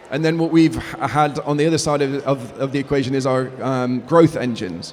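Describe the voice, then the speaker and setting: In an English accent, a man talks at a fairly quick pace and a fairly high pitch with ordinary pitch variation, over noticeable background noise. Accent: English accent, kept. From UK. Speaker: business executive. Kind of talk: interview. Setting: conference event.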